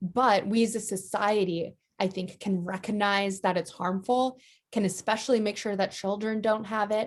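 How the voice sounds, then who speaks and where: In a normal speaking voice, a woman of medium pitch speaks at a moderate pace with fairly even intonation and an American accent. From US. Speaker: advocacy organization director. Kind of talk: interview.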